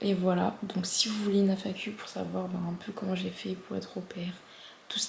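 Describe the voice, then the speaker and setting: Medium-pitched speech from a woman, with noticeable background noise and audible room echo. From France. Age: 20s. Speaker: vlogger. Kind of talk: casual vlog. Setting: at home, before bed. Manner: animated.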